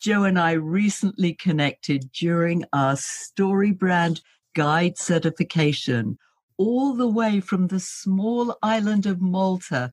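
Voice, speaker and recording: In a British accent, a woman speaks very slowly with lively intonation and a fairly low pitch, the sound dry and close with no echo against a quiet background. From Britain. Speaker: podcast host. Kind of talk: podcast interview.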